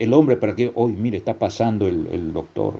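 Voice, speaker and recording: A man with a dark, mellow tone. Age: 60s. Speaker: preacher. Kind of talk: sermon. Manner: halting.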